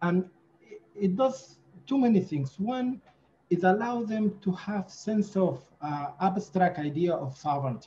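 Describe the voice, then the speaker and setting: A man with a high pitch and a dark, mellow tone speaks at a fairly slow pace. His intonation is lively. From Sudan. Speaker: writer and interviewer; interviewer. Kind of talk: academic interview. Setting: video call. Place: home room. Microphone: video call.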